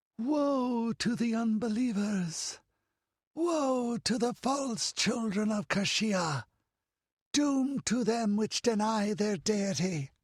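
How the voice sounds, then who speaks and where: Putting on a high-pitched character voice, a man speaks very slowly with lively intonation and very even loudness. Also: quiet background. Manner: echoing, prophetic doom.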